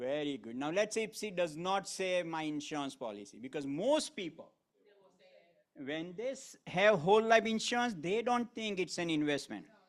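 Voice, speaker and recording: Animated in tone, a man speaks at a high pitch with very wide pitch swings. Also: moderate pace. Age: 30s. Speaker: financial sales trainer. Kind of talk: training presentation.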